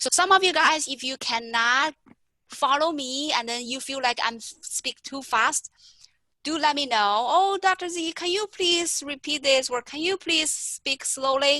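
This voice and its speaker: In a dry, close sound with no echo, a woman projects a raised, high-pitched voice with a bright, sharp tone, ordinary pitch variation and a fairly slow pace. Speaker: math instructor. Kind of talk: lecture.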